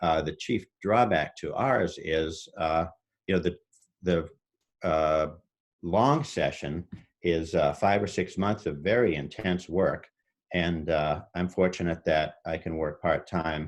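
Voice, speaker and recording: Fairly even in intonation, a man speaks at a fairly slow pace in a very deep, low pitch. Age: 60s. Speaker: political candidate. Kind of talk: candidate forum answer. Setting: video call. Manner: halting, many fillers.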